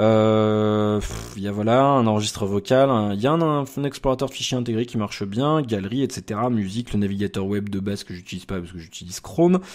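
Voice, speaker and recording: A man speaks at a fairly quick pace in a fairly low voice, with ordinary pitch variation. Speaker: tech reviewer. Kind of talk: product review. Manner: fast; animated.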